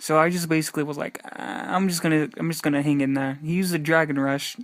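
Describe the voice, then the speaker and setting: Music plays behind a man who talks very fast at a fairly high pitch with fairly even intonation. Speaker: gaming YouTuber. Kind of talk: gameplay commentary. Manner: halting.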